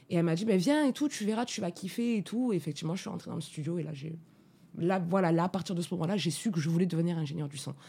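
Somewhat breathy, a woman speaks very fast in a fairly low voice. Her tone is dark and mellow, with ordinary pitch variation. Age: 30s. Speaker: sound engineer. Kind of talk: interview. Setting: studio.

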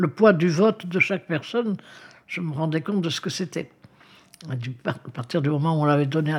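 Somewhat breathy and fairly low, a woman's voice moves at a fairly quick pace with ordinary pitch variation and long, frequent pauses. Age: 90s. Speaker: retirement home resident, mother of ten. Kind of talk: interview testimony.

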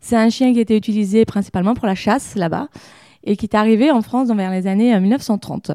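A woman with a fairly high pitch and a dark, mellow tone is heard in a dry, close sound with no echo, on a very clean recording with a silent background. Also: ordinary pitch variation, fairly quick pace. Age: 30s. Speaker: pet shop owner and dog groomer. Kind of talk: casual interview.

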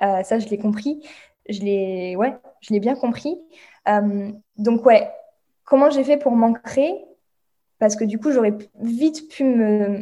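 At a very slow pace with long, frequent pauses, a woman speaks at a fairly high pitch in a dark, mellow tone with ordinary pitch variation. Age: 20s. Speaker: meditation guide and Reiki practitioner. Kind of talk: casual interview chat.

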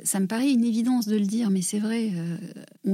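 A woman speaks at a fairly quick pace with a dark, mellow tone and a somewhat breathy quality. Her pitch sits in the medium range, and her intonation stays fairly even. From southwest France (Gers). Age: 40s. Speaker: environmental foundation director. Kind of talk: interview. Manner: hesitant, frequent repetitions.

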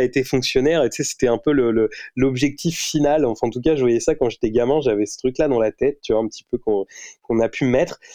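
A man's dark, mellow tone at a medium pitch and a very fast pace. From Normandy, France (Rouen). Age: 30s. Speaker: entrepreneur and investor. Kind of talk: casual interview.

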